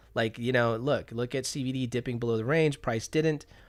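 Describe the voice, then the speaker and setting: Music plays in the background. A man speaks at a medium pitch with ordinary pitch variation. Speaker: day trader streaming live trades. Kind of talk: live trading commentary. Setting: live stream. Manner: fast; animated.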